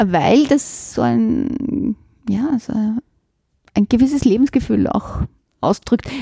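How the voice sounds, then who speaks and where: A woman talks at a very slow pace with long, frequent pauses. The sound is dry and close, with no echo. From Vienna, Simmering. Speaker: literature professor. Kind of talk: interview.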